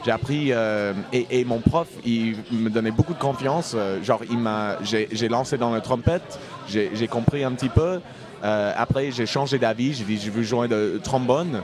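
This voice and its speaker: Noticeable background noise sits behind a man with an English accent. His medium pitch shows ordinary pitch variation, and his pace is fairly slow. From US Midwest (Indiana). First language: English (speaking French). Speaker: singer-songwriter. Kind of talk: casual interview chat. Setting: pub table.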